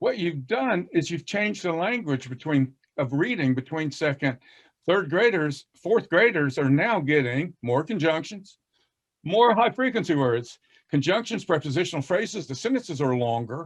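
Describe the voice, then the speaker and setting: Fairly high in pitch, a man with an American accent speaks with very wide pitch swings. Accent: Southern US, moderate, masked by fast speech. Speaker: reading educator. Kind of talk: casual panel discussion. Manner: drops g in -ing endings.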